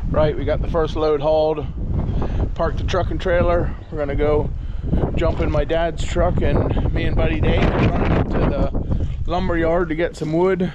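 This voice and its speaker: A man's moderately paced speech is heard dry and echo-free, with noticeable noise in the background. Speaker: vlogger. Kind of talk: casual vlog chat. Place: street. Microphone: phone near.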